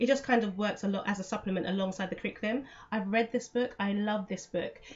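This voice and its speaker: A woman with a British accent talks at a fairly quick pace, her pitch fairly high with ordinary variation. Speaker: homeschooling parent and vlogger. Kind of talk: casual vlog explanation. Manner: fast; hesitant with fillers.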